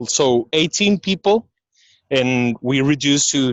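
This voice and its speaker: A man's fairly high voice with a non-native accent, lively intonation, very even loudness and a fairly slow pace. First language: not English. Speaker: restaurant business owner. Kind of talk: personal testimony. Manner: halting.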